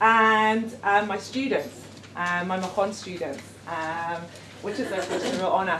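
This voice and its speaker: Amid audible room echo and noticeable background noise, a woman speaks at medium pitch and a moderate pace with ordinary pitch variation. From London, England. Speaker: educator running a gap year programme. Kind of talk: workshop presentation. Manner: hesitant, many fillers.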